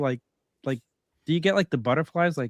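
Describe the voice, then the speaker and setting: In a dry, close sound with no echo over a quiet background, a man with a New York accent talks at a fairly high pitch with ordinary pitch variation. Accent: Staten Island. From New York, Staten Island. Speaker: podcast host. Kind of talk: casual chat.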